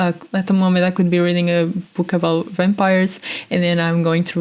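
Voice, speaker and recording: A woman with a Portuguese accent speaks at a fairly quick pace, in a fairly low pitch with monotone, flat intonation and very even loudness. Noticeable background noise is present. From Portugal. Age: 20s. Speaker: podcast host. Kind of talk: casual monologue. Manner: halting.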